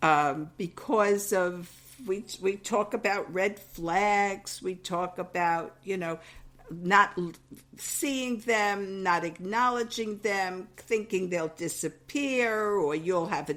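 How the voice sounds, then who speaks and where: A woman's medium-pitched voice in a New York accent, very slow, with ordinary pitch variation, on a very clean recording with a silent background. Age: 70s. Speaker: podcast co-host, mother. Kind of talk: casual chat.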